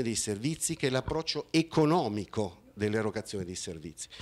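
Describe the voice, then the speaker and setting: The tempo of this man's speech is fairly brisk. Very wide swings mark his pitch. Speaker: conference speaker. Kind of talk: conference talk with slides. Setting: conference hall with audience. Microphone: handheld.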